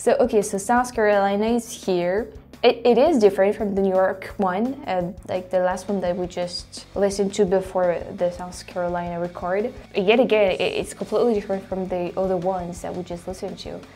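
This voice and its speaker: A woman with a French accent talks at a fairly quick pace and medium pitch, with fairly even intonation and hardly any pauses, while music plays in the background. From France. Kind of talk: casual talk to camera.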